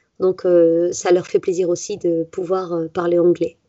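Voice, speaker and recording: A woman is speaking. Her pitch is medium. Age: 30s. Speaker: forest school teacher. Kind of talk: interview. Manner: halting.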